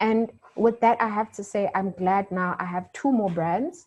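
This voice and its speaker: A woman's voice comes through somewhat breathy. The background is quiet. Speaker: tour operator. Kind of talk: panel discussion. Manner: stutter.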